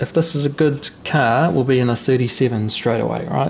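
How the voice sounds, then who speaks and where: The man's pitch varies in an ordinary way. There is noticeable background noise. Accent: New Zealand. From New Zealand. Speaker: sim racing streamer. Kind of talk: live gameplay commentary. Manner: casual, chatty.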